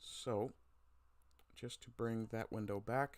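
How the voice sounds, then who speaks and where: This soft-spoken man talks at a moderate pace. His pitch sits in the medium range. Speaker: livestream host. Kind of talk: casual livestream commentary. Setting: livestream. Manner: quiet. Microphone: too quiet, mic moved closer.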